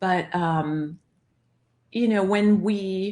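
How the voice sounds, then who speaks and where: Speaking at a very slow pace with a New York accent, a woman keeps a medium pitch and ordinary pitch variation. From Long Island, New York. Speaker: broadcaster. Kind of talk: interview conversation. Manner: animated, excitable.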